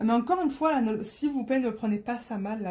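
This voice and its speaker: This woman speaks at a moderate pace with a dark, mellow tone, a fairly high pitch and ordinary pitch variation. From Marseille, southern France. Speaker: crafting vlogger. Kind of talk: casual vlog chat. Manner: hesitant, many fillers.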